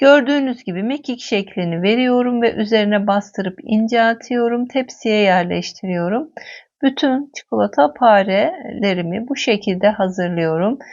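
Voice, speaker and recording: A woman with a plain, everyday voice talks at a fairly high pitch and a fairly slow pace, with hardly any pauses and lively intonation. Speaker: cooking video host. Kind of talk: cooking tutorial.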